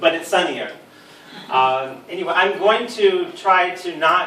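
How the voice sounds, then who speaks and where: Lively intonation in an American accent at a moderate pace, with audible room echo and noticeable background noise. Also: man. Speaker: supplement industry expert. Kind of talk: lecture. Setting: talk to a live audience with microphone lead. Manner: hesitant, many ums and repeated words.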